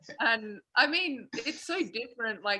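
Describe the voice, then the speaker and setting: With an Australian accent, a woman talks in a bright, sharp tone and lively intonation. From South Australia. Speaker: college basketball player. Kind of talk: interview. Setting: video call.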